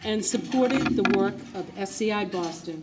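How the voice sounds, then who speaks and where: A woman with lively intonation talks at a moderate pace, and noticeable background noise can be heard. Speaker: event presenter. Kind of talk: prepared speech. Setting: gala ballroom with audience.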